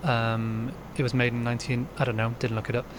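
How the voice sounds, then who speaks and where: Noticeable background noise around a man's voice at a medium pitch. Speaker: electronics repair hobbyist. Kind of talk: tutorial. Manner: hesitant, many filler words; rambling casual. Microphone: poor sound quality.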